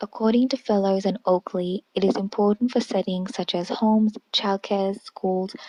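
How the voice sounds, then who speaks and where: A woman with a Sri Lankan accent, medium in pitch and dark and mellow in tone, at a moderate pace with fairly even intonation, in dry, close sound without echo. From Kuwait and Sri Lanka (Sri Lankan family). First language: Sinhalese. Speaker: university student. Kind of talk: scripted narration.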